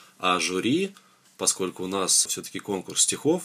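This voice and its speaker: In a very deep, low voice, the man talks at a moderate speed. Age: 30s. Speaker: charity volunteer and construction engineer. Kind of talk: interview.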